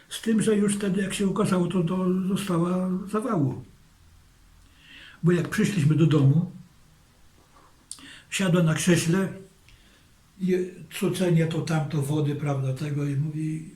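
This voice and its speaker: At a very slow pace with long, frequent pauses, a man speaks in a high pitch and a dark, mellow tone, with ordinary pitch variation. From Zamość, Poland. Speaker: war witness. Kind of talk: interview answer.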